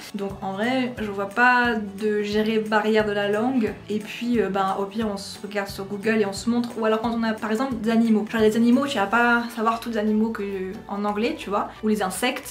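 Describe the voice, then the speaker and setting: A woman with a fairly high pitch talks at a fairly quick pace with fairly even intonation. Audible room echo and noticeable background noise surround her. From France. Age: 20s. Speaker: YouTuber. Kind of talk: casual Q&A vlog.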